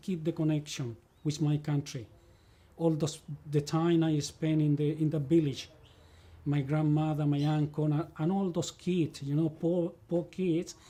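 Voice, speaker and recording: With a Spanish accent, a man speaks at a moderate pace in a dark, mellow tone, his fairly high pitch held in a monotone, flat intonation. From Chile, El Monte near Santiago. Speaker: immigrant interviewee, former leather cutter. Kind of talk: life story interview. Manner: halting, repeating words.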